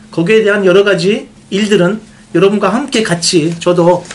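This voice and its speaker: Moderate pace in a Turkish accent, with noticeable background noise. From Turkey. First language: Turkish (speaking Korean). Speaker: tourism marketing expert, honorary official. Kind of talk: press briefing talk. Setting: meeting with reporters. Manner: hesitant, many fillers.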